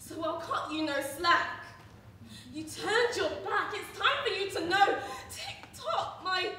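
A woman's raised, projected voice moves at a very slow pace, with audible room echo and light background noise. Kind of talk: dramatic monologue or song performance. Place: stage.

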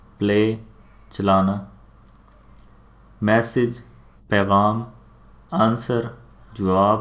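A man with a Punjabi accent, fairly low pitch and monotone, flat intonation. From Pakistan. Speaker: teacher. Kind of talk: vocabulary lesson.

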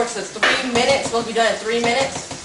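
Very fast speech from a woman, with noticeable noise behind it. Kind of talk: casual cooking vlog chat. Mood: annoyed, joking. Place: kitchen. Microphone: camera far.

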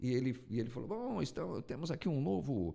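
Vocal fry in a dark, mellow tone with very wide pitch swings. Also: man, quiet background. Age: 50s. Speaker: radio announcer and broadcasting teacher; radio announcer, broadcasting teacher. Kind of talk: casual chat. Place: studio. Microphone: studio mic.

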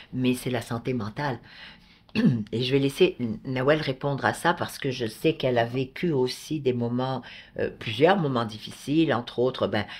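A woman with a very deep, low voice and ordinary pitch variation, recorded very cleanly against a silent background. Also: moderate pace. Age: 60s. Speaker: podcast co-host. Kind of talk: casual chat.

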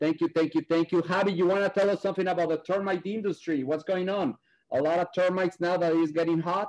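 Fast speech comes from a man with a high pitch. His tone is slightly mellow and his intonation fairly even.

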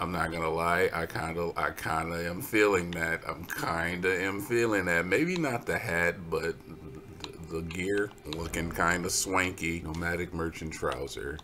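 A man's very deep, low voice at a fairly slow pace, over noticeable background noise. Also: fairly even intonation. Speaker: gaming video commentator. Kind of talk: live gameplay commentary. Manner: jokey.

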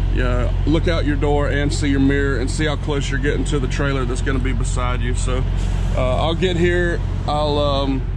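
At a moderate pace, the voice comes through a dry sound with no echo and noticeable background noise. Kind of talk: tutorial. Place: car. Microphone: phone near.

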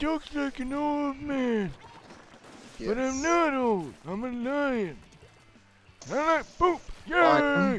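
Using a put-on character voice, a man talks at a very slow pace with long, frequent pauses. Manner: silly, gleeful.

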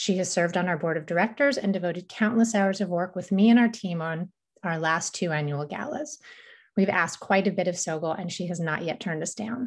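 A somewhat breathy woman at a fairly quick pace over a quiet background. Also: ordinary pitch variation. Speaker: organization host introducing a speaker. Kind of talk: event introduction. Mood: warm, grateful. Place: home room. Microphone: webcam.

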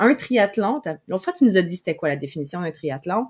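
A woman speaks fairly quickly with a quiet background. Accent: Quebec. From Quebec. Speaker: podcast host and online broadcasting coach; podcast host, online broadcasting coach. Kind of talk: live-streamed interview. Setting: live stream video call. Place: home room. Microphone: webcam.

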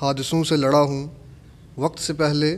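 The speaker is a man. His pitch sits fairly high. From Kotli, Azad Kashmir, Pakistan; Azad Kashmir, Pakistan. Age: 20s. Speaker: local election candidate; election candidate. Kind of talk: interview. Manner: formal. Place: home room. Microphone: handheld.

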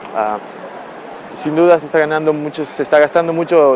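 At a very fast pace, a man speaks in a fairly high voice, in a dry recording with no echo and light background noise. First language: Spanish. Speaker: reporter. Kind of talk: field report. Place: street. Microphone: phone near.

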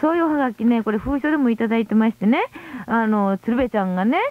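Her high-pitched voice swings very widely in pitch as this woman talks at a fairly quick pace, the sound dry with no echo. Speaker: radio co-host. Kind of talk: late-night radio talk. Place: studio.

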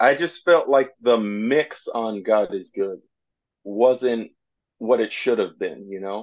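Over a quiet background, a man speaks at a medium pitch. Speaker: music interviewer. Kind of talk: interview. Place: home room. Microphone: earbuds.

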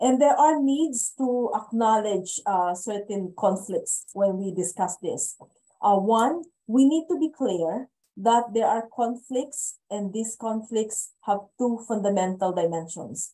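The intonation is lively, though the pace is very slow. The tone is dark and mellow. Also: woman, fairly high pitch for a woman. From Philippines. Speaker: policy advocate; speaker. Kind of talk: online panel discussion. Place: home room. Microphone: video call.

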